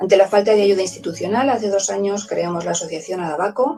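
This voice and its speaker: Over music in the background, a woman talks at a fairly quick pace with a medium pitch and ordinary pitch variation. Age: 60s. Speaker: teacher, vaccine injury testimony. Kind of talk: testimony then reading aloud a statement.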